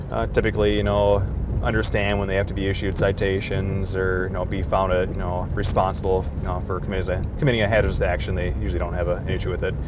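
Over noticeable background noise, a man talks at a very fast pace, the sound dry with no echo. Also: hardly any pauses. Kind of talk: interview answer. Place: car. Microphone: lapel.

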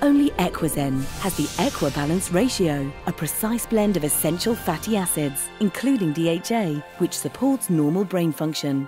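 Clear music plays behind a woman with a fairly low pitch. She speaks at a moderate pace with very wide pitch swings. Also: very even loudness. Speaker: voice actor. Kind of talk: TV commercial read. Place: booth. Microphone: studio mic.

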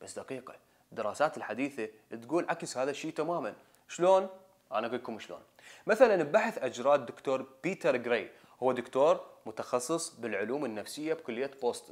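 A man at a fairly quick pace, with lively intonation and big swings in loudness, over a quiet background. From Iraq. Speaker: video presenter; presenter. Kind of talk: scripted narration. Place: studio.

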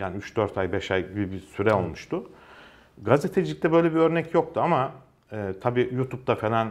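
The intonation is lively and the pace moderate. It is an unremarkable speaking voice. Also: man. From Ankara, Turkey; Turkey. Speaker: journalist. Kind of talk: casual interview. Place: studio. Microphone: lapel.

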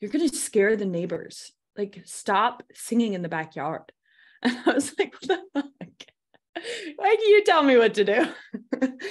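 Speaking very slowly, a woman with a high voice makes very wide pitch swings. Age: 20s. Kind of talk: casual chat. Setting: video call.

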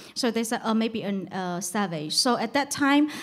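Against a quiet background, a woman talks at a moderate pace. She uses ordinary pitch variation. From China. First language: Mandarin Chinese. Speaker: journalist. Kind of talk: panel discussion. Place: shop. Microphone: handheld.

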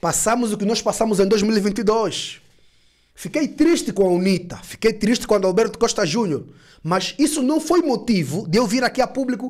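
Against a quiet background, a man with a high pitch talks at a moderate pace, his animated tone matched by lively intonation. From Angola. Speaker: YouTube political commentator. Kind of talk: casual political commentary vlog. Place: studio. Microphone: studio mic.

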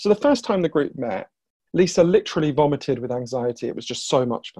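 A man races along at a very fast pace with lively intonation against a quiet background. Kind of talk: interview answer, storytelling. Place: home room. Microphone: earbuds.

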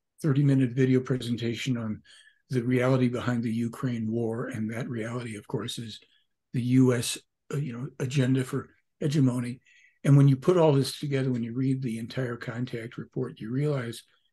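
A man's dark, mellow, somewhat breathy voice with fairly even intonation. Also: moderate pace, quiet background. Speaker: podcast guest. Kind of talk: interview answer. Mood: earnest, emphatic. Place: home room.

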